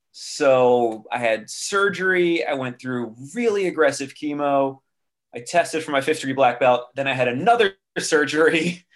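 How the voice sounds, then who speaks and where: A moderate pace, lively intonation, and an ordinary speaking voice. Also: man, fairly high pitch for a man. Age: 40s. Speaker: music industry veteran, martial artist and cancer survivor. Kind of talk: interview conversation.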